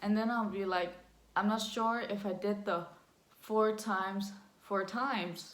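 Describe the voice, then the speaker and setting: A woman with a Danish accent, medium pitch, monotone, flat intonation and very even loudness, at a fairly slow pace with long, frequent pauses and audible room echo. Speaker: vlogger. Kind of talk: personal story vlog. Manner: halting.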